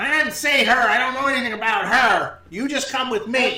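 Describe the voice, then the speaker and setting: Putting on a character voice, a man speaks at a fairly quick pace in an extremely high pitch. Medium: actual play. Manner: bossy, impatient, curt.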